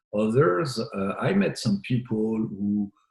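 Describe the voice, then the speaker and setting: The man's voice sits at a fairly low pitch. He talks with a French accent. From France. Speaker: biotech CEO. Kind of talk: interview answer.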